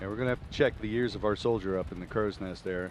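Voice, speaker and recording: A man's very fast speech with an American accent, fairly low pitch and fairly even intonation, with audible room echo. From Philadelphia area, US. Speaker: color commentator. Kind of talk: live sports commentary. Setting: press box at stadium.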